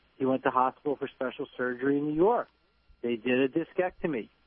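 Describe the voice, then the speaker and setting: A man with a medium pitch talks in a New Jersey accent. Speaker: chiropractor. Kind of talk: radio interview.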